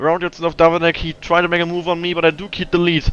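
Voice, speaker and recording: A man's high-pitched voice with a non-native accent. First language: not English. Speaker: sim racing driver. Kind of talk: live commentary. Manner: fast; halting.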